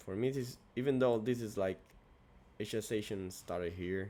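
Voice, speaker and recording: The pitch varies in an ordinary way while a man speaks at a moderate pace. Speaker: trader streaming backtesting. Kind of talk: casual trading tutorial. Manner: halting; soft-spoken. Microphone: good mic.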